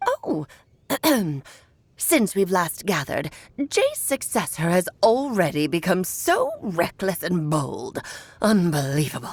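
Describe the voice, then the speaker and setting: A female-sounding voice performs a put-on character voice at medium pitch. The pace is fairly slow, with long, frequent pauses. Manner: haughty, disapproving.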